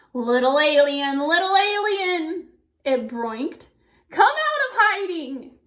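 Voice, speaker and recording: A woman performs a put-on character voice at an extremely high pitch. She speaks at a fairly slow pace. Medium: read story. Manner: booming threats, bleeping.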